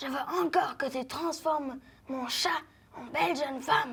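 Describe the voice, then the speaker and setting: Using a put-on character voice, the speaker is raspy and high-pitched at a moderate pace. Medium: stage play. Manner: curt, stubborn.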